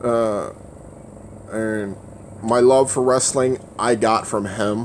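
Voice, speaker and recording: Over noticeable background noise, a man speaks at a very slow pace and medium pitch with fairly even intonation. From Louisiana. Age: 30s. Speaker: livestreamer. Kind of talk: casual livestream chat. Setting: livestream. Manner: stutters at times.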